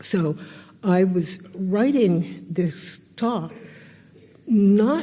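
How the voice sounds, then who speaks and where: Somewhat breathy, a woman with an American accent speaks at a medium pitch in a dark, mellow tone. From United States. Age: 80s+. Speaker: historian and artist. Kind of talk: public lecture.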